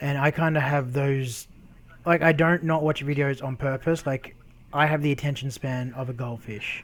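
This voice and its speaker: A man with an Australian accent, heard over noticeable background noise. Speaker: YouTuber. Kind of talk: casual chat.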